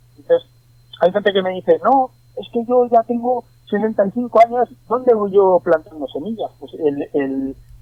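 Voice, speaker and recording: A high-pitched man at a moderate pace, lively in intonation. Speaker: bonsai artist. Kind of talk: interview. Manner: halting, many repetitions.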